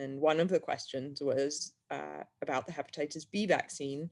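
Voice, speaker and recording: With an English accent, a woman speaks at a very deep, low pitch. The recording is very clean, with a silent background. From England. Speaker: health freedom activist. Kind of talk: interview.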